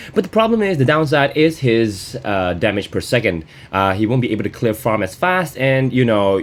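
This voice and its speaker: A man talks at a moderate pace with lively intonation. His pitch is medium. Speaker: gaming commentator. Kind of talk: gameplay commentary. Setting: at home. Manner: hesitant, many fillers; louder than usual.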